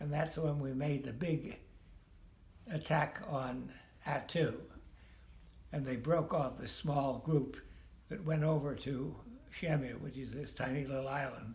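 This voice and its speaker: With long, frequent pauses, a man speaks at a fairly slow pace in a fairly high-pitched, somewhat breathy voice with fairly even intonation. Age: 80s+. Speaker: war veteran. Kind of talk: interview answer. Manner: slow, hesitant.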